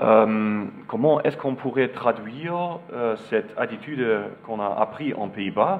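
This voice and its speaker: With a German accent, a man talks at a very slow pace using lively intonation. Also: big swings in loudness. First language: German (speaking French). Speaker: architect. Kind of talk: lecture. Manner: halting, many hesitations.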